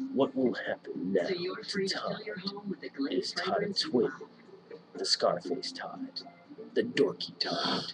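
A man puts on a gravelly character voice, speaking at a fairly slow pace with long, frequent pauses over music in the background. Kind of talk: movie trailer narration. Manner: tense, dramatic trailer voice.

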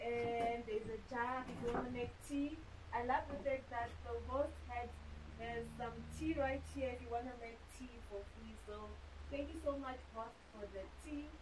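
The woman keeps a moderate pace while noticeable background noise runs beneath her words. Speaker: traveler vlogger. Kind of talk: casual vlog chat. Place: home room.

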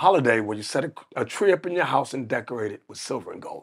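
A man talks at medium pitch with ordinary pitch variation. His tone is animated. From United States. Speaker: religious leader. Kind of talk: interview about religion. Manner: animated storyteller.

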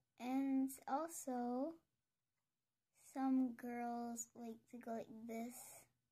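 Very slow and soft-spoken, a woman talks with a high pitch, a dark, mellow tone and fairly even intonation. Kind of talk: ASMR makeup tutorial talk to camera.

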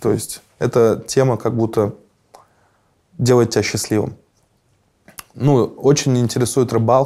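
A man speaks in a monotone with flat intonation and a dark, mellow tone. Long pauses come often. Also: medium pitch for a man, fairly slow pace, quiet background. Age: 30s. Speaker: musician; interviewee. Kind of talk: interview. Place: studio. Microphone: lapel.

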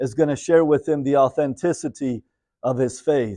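With a dark, mellow tone and fairly even intonation, a man talks in a dry recording with no echo. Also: quiet background. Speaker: preacher. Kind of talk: sermon. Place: church.

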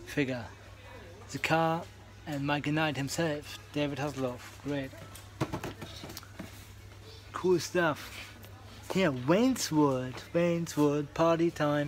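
Over light background noise, a man speaks at a very slow pace with ordinary pitch variation. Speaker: toy collector vlogger. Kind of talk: casual vlog chat. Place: shop. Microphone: phone near.

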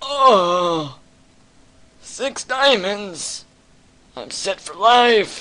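Someone puts on a character voice at a fairly high pitch. The pace is very slow, broken by long, frequent pauses. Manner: exaggerated, delighted.

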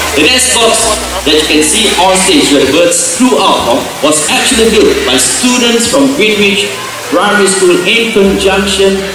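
Amid strong room echo and noticeable background noise, a man speaks at a moderate pace in a raised, projected voice. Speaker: presenter. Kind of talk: show commentary. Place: stadium.

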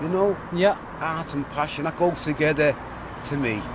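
A man at fairly high pitch and moderate pace, with noticeable background noise. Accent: Liverpool. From Liverpool. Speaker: local resident. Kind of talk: street interview. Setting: outdoors.

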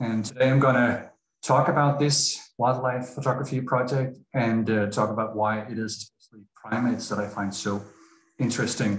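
Amid light background noise and audible room echo, a man talks at a moderate pace with ordinary pitch variation and big swings in loudness. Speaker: speaker. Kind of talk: lecture. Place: home room. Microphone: video call.

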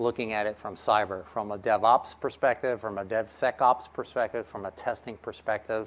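This is a man speaking. His tone is energetic. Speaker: conference presenter pitching a product. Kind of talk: conference presentation. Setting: stage. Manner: energetic, engages audience with questions. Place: stage.

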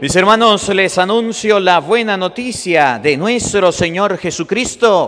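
A man talks at a high pitch with lively intonation. His pace is very slow. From Venezuela. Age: 30s. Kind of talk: sermon. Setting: church. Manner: animated. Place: church.

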